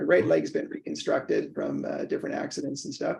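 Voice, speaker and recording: Speaking at a fairly quick pace, a man talks with a Canadian accent. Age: 60s. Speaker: professor and neurologist. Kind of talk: casual chat. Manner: halting, many fillers.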